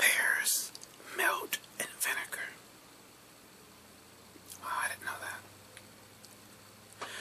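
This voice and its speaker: Whispered speech comes at a very slow pace, broken by long, frequent pauses, with noticeable background noise behind it. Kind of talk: ASMR whisper video reading fun facts.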